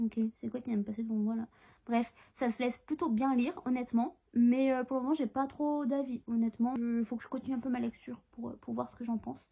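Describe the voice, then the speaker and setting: Soft-spoken yet with big swings in loudness, a woman talks at a fairly quick pace with hardly any pauses, her high-pitched voice carrying a dark, mellow tone. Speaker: book vlogger and author. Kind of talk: casual vlog. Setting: at home, in bed. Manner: soft-spoken, bird sleeping; animated, swearing, rushed.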